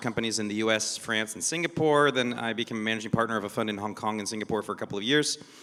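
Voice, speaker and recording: A man with an American accent at a very fast pace, fairly even intonation, noticeable background noise. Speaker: venture investor. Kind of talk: panel discussion. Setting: stage with audience.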